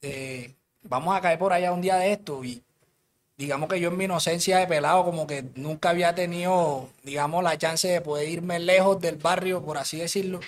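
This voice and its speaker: A man with a high pitch speaks at a moderate pace with fairly even intonation. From Colombia, Cartagena (Caribbean coast). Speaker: rapper. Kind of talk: casual interview chat. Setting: studio.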